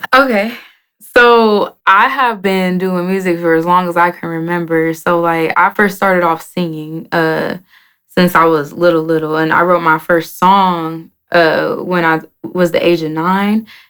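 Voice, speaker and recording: A woman speaks in a normal speaking voice at a fairly slow pace, with a fairly low pitch and ordinary pitch variation. The recording is very clean, with a silent background. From Oklahoma City, Oklahoma. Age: 20s. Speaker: rapper. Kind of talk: interview.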